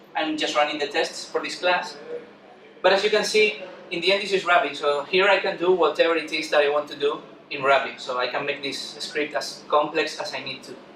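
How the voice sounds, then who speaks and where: Through noticeable background noise and audible echo from the room, a man can be heard speaking. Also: fairly high pitch for a man, ordinary pitch variation, fairly quick pace. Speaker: conference speaker, software developer. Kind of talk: conference talk. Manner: fast; halting with repetitions.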